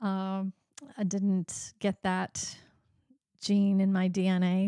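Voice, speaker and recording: Speaking with a Midwestern American accent, a woman uses medium pitch, fairly even intonation and a dark, mellow tone in a dry, close recording with no echo. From US Midwest, eastern Iowa. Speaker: podcast host. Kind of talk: casual interview chat.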